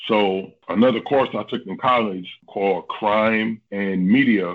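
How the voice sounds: A man speaks at a fairly slow pace with fairly even intonation. His pitch is fairly low.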